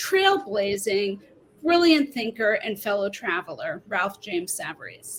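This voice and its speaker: This woman talks at a fairly slow pace. The speaker is a woman. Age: middle-aged. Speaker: author and English professor. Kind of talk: book talk. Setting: live online event. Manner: animated.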